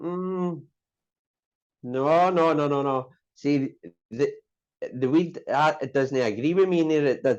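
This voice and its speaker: A man with a Glasgow accent speaks at a very slow pace, leaving long, frequent pauses. His pitch is fairly high, with ordinary pitch variation. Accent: Scottish (Glasgow). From Scotland, Glasgow (Maryhill). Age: 30s. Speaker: person in recovery from addiction. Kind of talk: casual interview. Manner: hesitant, many fillers.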